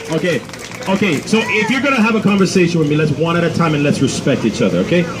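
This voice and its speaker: A man's high voice, very fast and with lively intonation, over noticeable background noise. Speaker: street preacher. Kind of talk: street preaching, debating passersby. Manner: loud, confrontational, fast.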